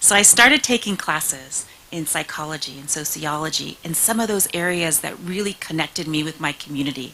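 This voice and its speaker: With a bright, sharp tone and a very deep, low pitch, a woman talks at a fairly quick pace with ordinary pitch variation and hardly any pauses. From California, US, partly raised in Mexico. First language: Spanish. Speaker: state senator. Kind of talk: speech. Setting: stage with audience.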